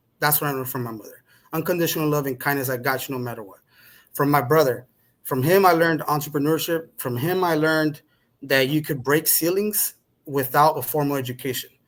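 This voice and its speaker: Talking at a very fast pace, a man with a Spanish accent has a fairly high pitch and ordinary pitch variation, with big swings in loudness. The recording is very clean, with a silent background. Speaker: podcast guest. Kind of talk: conversational interview.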